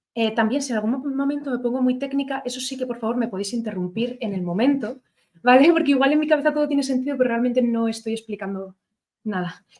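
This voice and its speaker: Very fast in pace, a woman talks at a high pitch. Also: ordinary pitch variation. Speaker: lecturer on literature. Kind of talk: lecture. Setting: lecture hall with audience, streamed. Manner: hesitant, many fillers.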